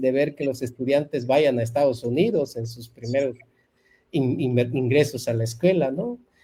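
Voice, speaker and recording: In a Yucatán accent, a man speaks with a dark, mellow tone and a fairly high pitch. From Yucatán Peninsula, Mexico (Maya-speaking jungle community). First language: Yucatec Maya (speaking Spanish). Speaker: university professor and Maya language revitalization leader. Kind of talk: interview.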